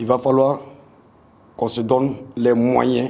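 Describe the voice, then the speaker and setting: A man talks at a medium pitch. His pace is very slow. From Burkina Faso, Bobo-Dioulasso. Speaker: football coach. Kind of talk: press conference speech. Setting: press conference. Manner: halting, many hesitations and repetitions.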